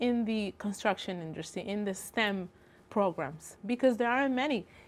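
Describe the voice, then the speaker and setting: A woman with a Spanish accent and ordinary pitch variation on a very clean recording with a silent background. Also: medium pitch for a woman, moderate pace. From Dominican Republic. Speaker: construction estimating engineer. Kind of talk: tv interview.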